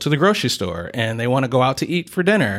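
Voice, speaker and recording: In a very clean recording with a silent background, a normal speaking voice with an American accent moves at a fairly quick pace. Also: man. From Detroit, Michigan. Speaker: chamber of commerce director. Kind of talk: interview. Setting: business center meeting space.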